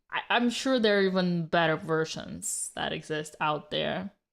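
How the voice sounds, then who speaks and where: A woman speaks at a fairly low pitch with ordinary pitch variation, recorded very cleanly against a silent background. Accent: non-native. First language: not English. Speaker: chess commentator. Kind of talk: live commentary.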